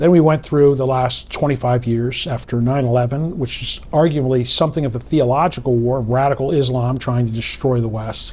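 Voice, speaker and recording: Using a normal speaking voice, a man talks at a fairly quick pace with hardly any pauses, medium pitch and fairly even intonation. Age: 60s. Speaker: political analyst. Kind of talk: interview.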